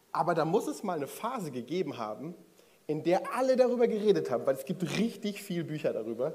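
A man with a high pitch races along at a very fast pace with very wide pitch swings, with audible room echo and noticeable background noise. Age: 30s. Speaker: preacher. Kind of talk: sermon. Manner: casual.

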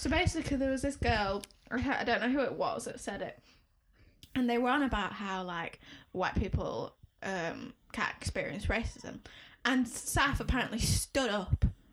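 Spoken at a moderate pace with a Leeds accent, the voice has an animated tone and lively intonation. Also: woman, high pitch for a woman. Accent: Leeds, Yorkshire. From Leeds, northern England. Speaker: podcast co-host. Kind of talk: casual chat. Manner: animated, joking.

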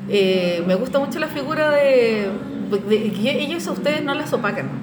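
A woman with a Chilean accent amid audible room echo and noticeable background noise. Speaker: animation professional and guest co-host. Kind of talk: casual interview conversation.

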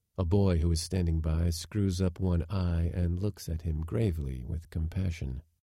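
A man speaks with a very deep, low pitch, his somewhat breathy voice carrying a dark, mellow, theatrical tone. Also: very clean recording, silent background. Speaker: audiobook narrator. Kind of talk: literary audiobook reading, scripted narration of a Chekhov story. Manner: measured, even storyteller pace; shifts into sneering, theatrical tones for quoted characters like the footman.

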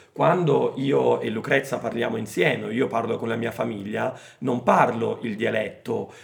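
A man in a Roman accent at a fairly slow pace, over noticeable background noise. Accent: Roman regional Italian. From Rome, Italy. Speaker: Italian language teacher. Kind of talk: educational chat. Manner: hesitant with many fillers.

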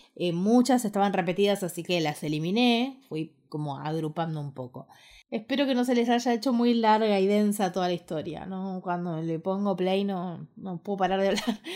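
In a very clean recording with a silent background, a woman with a Rioplatense accent talks at a moderate pace and medium pitch, with ordinary pitch variation and hardly any pauses. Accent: Argentine Rioplatense Spanish. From Argentina, Ushuaia, Tierra del Fuego. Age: 30s. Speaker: podcaster and online course creator. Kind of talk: casual monologue podcast.

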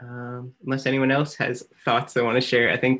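A man with a medium pitch talks at a fairly quick pace in a plain, everyday voice. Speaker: educator and moderator. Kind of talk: moderated Q&A. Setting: video call with live audience.

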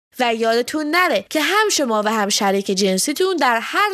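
Her pitch swings very widely as the woman speaks. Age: 30s. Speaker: sex educator. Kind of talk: scripted narration.

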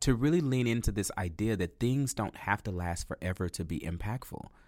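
A man with an American accent and a plain, everyday voice, at a fairly quick pace with ordinary pitch variation, on a very clean recording with a silent background. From Texas. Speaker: arts director and dance company founder. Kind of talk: interview.

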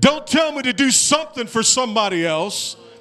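In an American accent, the speaker uses a raised, projected voice with lively intonation. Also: man. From East St. Louis, Illinois. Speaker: pastor. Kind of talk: sermon.

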